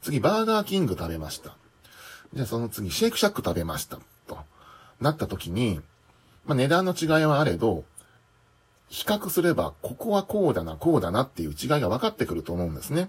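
Speaking at a fairly quick pace, a man with a medium pitch makes very wide pitch swings and takes long, frequent pauses. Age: 40s. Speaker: office worker and aspiring manga artist. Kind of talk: solo podcast monologue.

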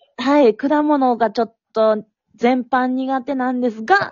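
A woman speaks at a moderate pace in a high voice. Her tone is slightly mellow, with ordinary pitch variation.

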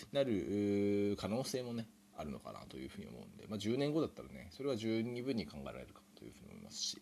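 The voice moves at a very fast pace through very wide pitch swings. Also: man. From Japan. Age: 30s. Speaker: podcaster. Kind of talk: solo improvised monologue. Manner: hesitant, many fillers.

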